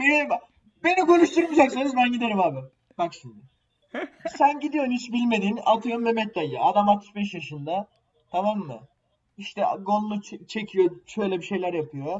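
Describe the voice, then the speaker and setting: A man with a high voice shows very wide pitch swings and big swings in loudness. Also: moderate pace. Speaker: podcast co-host. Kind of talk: casual chat.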